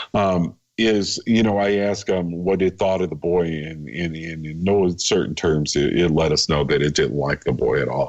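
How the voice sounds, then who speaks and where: A man's very deep, low voice at a moderate pace, with ordinary pitch variation and hardly any pauses. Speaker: paranormal author. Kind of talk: radio interview. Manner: halting.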